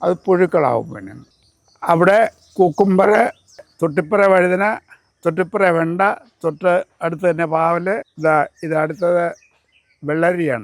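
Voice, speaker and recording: Here a man speaks in a high pitch. His intonation stays fairly even. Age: 70s. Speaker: farmer. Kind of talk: casual explanation on a farm tour. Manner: halting.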